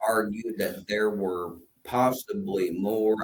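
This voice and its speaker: This man speaks with an Appalachian accent at a fairly low pitch. His intonation stays fairly even. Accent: Appalachian Southern dialect. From Kentucky, Appalachia. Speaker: co-host of a Bible discussion show. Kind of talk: casual discussion. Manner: halting, many fillers.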